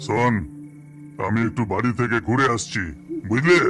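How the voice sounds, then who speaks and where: A man puts on a cartoonish character voice at medium pitch with ordinary pitch variation, with clear background noise. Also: moderate pace. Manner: curt, offhand.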